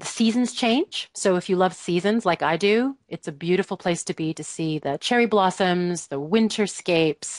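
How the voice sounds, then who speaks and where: A woman with a Canadian accent talks at a moderate pace and a medium pitch, with ordinary pitch variation and hardly any pauses. The sound is dry and close with no echo, against a quiet background. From Canada, Vancouver. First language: Cree. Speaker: international educator and parenting coach. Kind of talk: interview.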